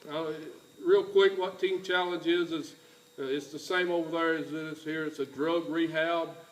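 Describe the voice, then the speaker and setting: Noticeable background noise behind a man's fairly high, fairly even voice at a fairly slow pace. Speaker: church mission trip leader. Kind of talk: church presentation speech. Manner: folksy, halting.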